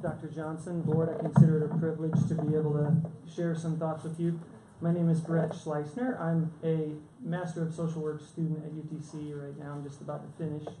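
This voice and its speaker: A man speaks in a monotone, flat intonation. Audible room echo and noticeable background noise are present. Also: fairly high pitch for a man, fairly quick pace. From Chattanooga, Tennessee (US South). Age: 40s. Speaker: public commenter, social work student and minister. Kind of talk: public comment at a board meeting. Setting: school board meeting.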